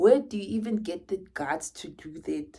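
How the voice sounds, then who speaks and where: A woman with a Zulu accent speaks at a medium pitch and moderate pace in a dark, mellow tone with vocal fry. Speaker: vlogger. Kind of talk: casual monologue vlog. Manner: animated.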